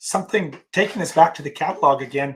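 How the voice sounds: A man puts on a squeaky character voice, pitched fairly high and rattled off at a very fast pace.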